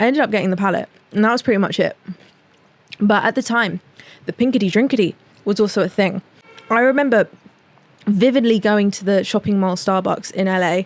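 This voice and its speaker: A woman in a British accent at medium pitch, animated in tone, fairly quick with long, frequent pauses and ordinary pitch variation, in a dry, close sound with no echo. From England. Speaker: podcast host. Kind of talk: casual chat.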